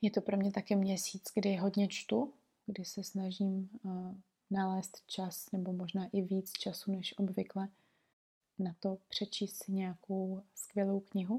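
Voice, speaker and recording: A woman's somewhat breathy, dark, mellow voice, calm in tone, monotone and flat, at a very slow pace. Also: medium pitch for a woman. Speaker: podcast host, aromatherapist and herbalist. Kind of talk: reflective solo monologue. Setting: recording at home in bed.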